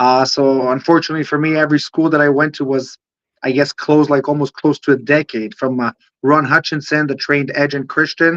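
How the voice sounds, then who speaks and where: A man with an Israeli accent speaks at a fairly quick pace in a fairly high voice. His intonation is monotone and flat, and the sound is dry and close with no echo. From Israel, Holon near Tel Aviv. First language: Hebrew. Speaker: professional wrestler. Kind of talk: interview. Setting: livestream. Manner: halting, many fillers.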